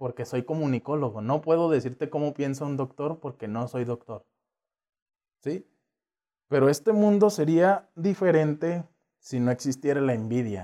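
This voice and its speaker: Lively intonation and a dark, mellow tone mark a man's speech, which has long, frequent pauses. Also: fairly high pitch for a man, moderate pace. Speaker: communications graduate and sports enthusiast. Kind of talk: casual interview chat.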